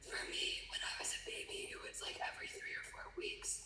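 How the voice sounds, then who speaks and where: Whispering amid audible room echo and noticeable background noise, a woman speaks. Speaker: former competitive figure skater. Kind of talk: interview.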